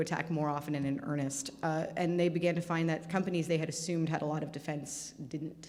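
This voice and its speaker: With audible room echo around her, a woman speaks at a fairly low pitch with fairly even intonation. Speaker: cyber security speaker. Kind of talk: conference talk Q&A. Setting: stage with audience. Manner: fast.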